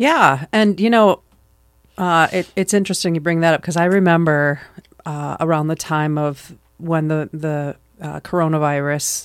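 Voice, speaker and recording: Speaking at a moderate pace, a woman with an American accent has a very deep, low pitch. The recording is very clean, with a silent background. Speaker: podcast host and parent. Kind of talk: casual family conversation.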